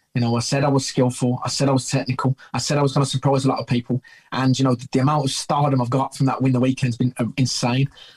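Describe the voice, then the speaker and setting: A man with a Brummie accent talks very fast in a somewhat breathy, monotone voice with flat intonation, the sound dry and close with no echo. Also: medium pitch for a man, very even loudness. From Birmingham, England. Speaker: bare knuckle fighter. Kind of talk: interview. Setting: video call.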